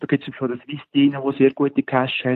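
At a moderate pace, a man speaks in a fairly high pitch with a normal speaking voice. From Switzerland, Lucerne region. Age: 40s. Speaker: app developer and geocacher. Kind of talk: interview.

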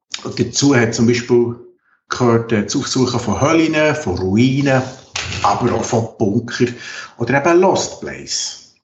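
The speaker is a man with a medium pitch and ordinary pitch variation. He talks at a fairly slow pace in a somewhat breathy voice. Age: 50s. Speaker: geriatric nurse and documentary filmmaker. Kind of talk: interview.

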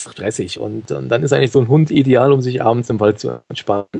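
A man with an ordinary speaking voice talks at a moderate pace, at a medium pitch, with ordinary pitch variation. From Germany, Cologne. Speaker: podcaster and dog owner. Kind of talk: interview.

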